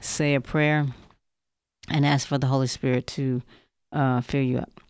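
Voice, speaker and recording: A woman's very deep, low voice at a moderate pace, monotone and flat, in a very clean recording over a silent background. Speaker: co-moderator. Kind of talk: scripture reading and teaching.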